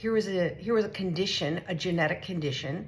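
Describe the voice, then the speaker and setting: A woman talks in an animated tone with lively intonation. Noticeable background noise is present. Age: 60s. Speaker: vlogger sharing health journey. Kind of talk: casual vlog monologue.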